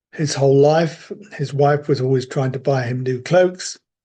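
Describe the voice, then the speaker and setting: A man with a British accent speaks at a fairly slow pace. His fairly high voice is somewhat breathy, with a dark, mellow tone. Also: quiet background. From Britain. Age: 70s. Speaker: religious community member sharing faith stories. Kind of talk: storytelling. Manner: unhurried with hesitations.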